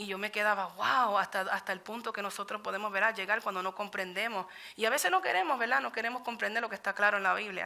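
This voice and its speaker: This woman talks at a very fast pace with hardly any pauses, her medium pitch held in fairly even intonation. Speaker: Bible study teacher. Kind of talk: sermon.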